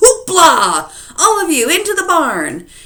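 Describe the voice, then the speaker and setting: Loud and extremely high-pitched, a woman performs a put-on character voice at a fairly slow pace. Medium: read story. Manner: loud, blustering.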